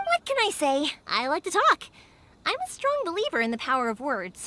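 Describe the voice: Pitch swings very widely in this put-on character voice with a bright, sharp tone. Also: woman, high pitch for a woman, moderate pace.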